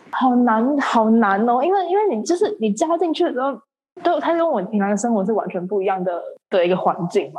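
A woman speaks at a fairly quick pace in a fairly high pitch. Her pitch swings very widely. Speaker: medical student and amateur theatre actor. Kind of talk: casual chat. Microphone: poor internet connection.

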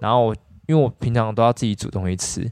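In a quiet background with a dry, close sound and no echo, a man with an unremarkable speaking voice talks at a fairly quick pace, medium pitch and ordinary pitch variation. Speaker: dentist. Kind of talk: casual chat.

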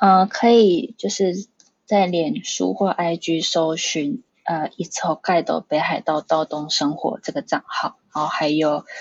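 A woman talks at a very slow pace. Her pitch is fairly low, with ordinary variation. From Taiwan (Pingtung). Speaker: tour guide. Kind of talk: casual interview.

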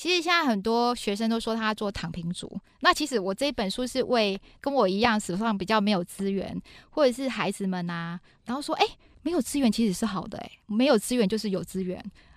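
A woman speaks in an animated, energetic tone at a fairly quick pace. Her pitch is fairly high and her intonation lively. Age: 40s. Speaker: business executive and author. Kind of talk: interview. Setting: studio.

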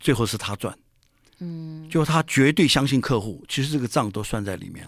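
Pitch swings very widely as a man speaks at medium pitch and a moderate pace. The recording is very clean, with a silent background. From Taiwan. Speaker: author. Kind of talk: interview.

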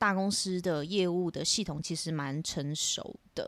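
A woman with an ordinary speaking voice talks at a fairly slow pace in a medium pitch with ordinary pitch variation, on a very clean recording with a silent background. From Taiwan, northern coast (Shimen). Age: 20s. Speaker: temple family daughter, TV station employee. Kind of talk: casual interview.

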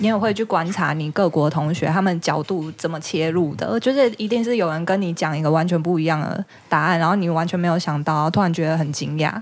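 Talking at a very fast pace, a woman with a fairly low pitch uses ordinary pitch variation. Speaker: returned language-school student from New York. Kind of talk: casual chat. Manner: laughs often.

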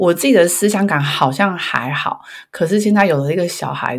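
At a moderate pace, a woman talks in an ordinary speaking voice with lively intonation. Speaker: career coach, parent. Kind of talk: casual chat.

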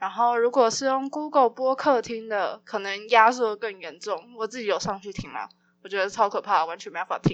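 Over a quiet background, a woman with a plain, everyday voice talks at a moderate pace, her fairly high pitch showing ordinary variation. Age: 20s. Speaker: podcast host and student. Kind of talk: casual solo podcast announcement.

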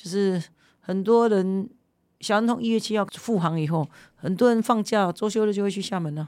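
Speech comes at a moderate pace with ordinary pitch variation. The recording is very clean, with a silent background. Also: woman, medium pitch for a woman. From Kinmen, Taiwan. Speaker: legislator. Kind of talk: interview. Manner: animated.

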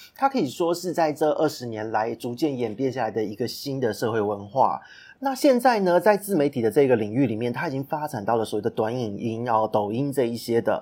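A man speaks at a fairly quick pace with hardly any pauses. His medium-pitched voice has a dark, mellow tone and lively intonation. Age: 30s. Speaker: podcast host and business consultant. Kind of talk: solo podcast monologue.

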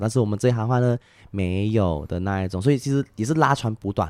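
Over a silent background in a very clean recording, a man with a slight Malaysian accent talks at a very fast pace, his fairly low voice dark and mellow in tone. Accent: Malaysian Chinese Mandarin, mild. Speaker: tour guide. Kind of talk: casual chat. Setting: recorded in Malaysia.

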